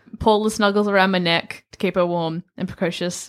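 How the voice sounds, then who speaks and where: A woman with an unremarkable speaking voice, moderate pace and ordinary pitch variation, on a very clean recording over a silent background. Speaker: player in a D&D game. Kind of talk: casual tabletop game chat.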